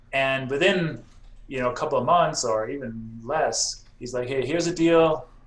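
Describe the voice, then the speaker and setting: The speaker has an American accent and a somewhat breathy voice, talking at a moderate pace with ordinary pitch variation. Room echo is audible. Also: man, fairly high pitch for a man. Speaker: real estate investor. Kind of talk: podcast interview.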